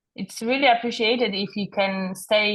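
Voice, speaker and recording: A woman with a somewhat breathy voice talks fairly slowly, keeping her intonation fairly even. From Poland. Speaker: podcast guest. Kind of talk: interview conversation. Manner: halting.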